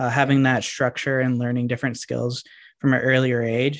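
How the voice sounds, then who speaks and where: With a plain, everyday voice at a medium pitch, a man speaks at a fairly quick pace. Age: 20s. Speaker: personal development coach and military veteran. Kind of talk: casual interview chat.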